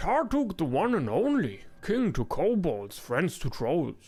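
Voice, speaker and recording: The voice is a gravelly, put-on character voice. It moves at a fairly slow pace. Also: man, high pitch for a man. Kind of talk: video game voice acting. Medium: actual play. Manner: broken, simple speech.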